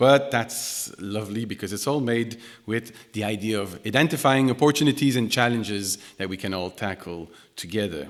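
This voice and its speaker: Speaking in a Quebec accent, a man keeps a moderate pace. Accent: French Canadian accent in English. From Quebec, Canada. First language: French. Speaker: music technology researcher and composer. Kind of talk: keynote lecture. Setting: concert hall with audience. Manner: hesitant, many fillers and restarts.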